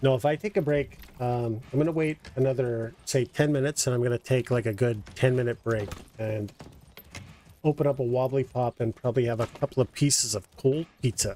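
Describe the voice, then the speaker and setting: A man with a dark, mellow tone and a medium pitch talks at a fairly quick pace with ordinary pitch variation, the sound dry and close with no echo. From Canada. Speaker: game streamer. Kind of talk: live gameplay commentary. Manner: slurred, casual.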